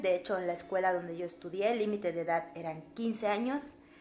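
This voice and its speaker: A woman speaks with a Yucatecan accent. Music plays in the background. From Mexico, Yucatán (Mérida). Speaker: violinist and music teacher. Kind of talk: casual Q&A vlog. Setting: home recording, non-professional equipment.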